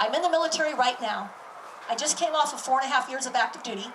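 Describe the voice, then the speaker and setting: A woman talks very fast at a high pitch with an American accent and lively intonation. There is noticeable background noise and audible room echo. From California. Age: 50s. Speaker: military reservist and activist. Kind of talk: public speech.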